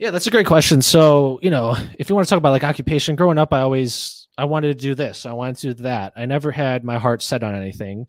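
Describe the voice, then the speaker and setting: In a very clean recording with a silent background, a man speaks very fast with lively intonation and a fairly high pitch. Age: 20s. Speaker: podcast host. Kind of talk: casual chat.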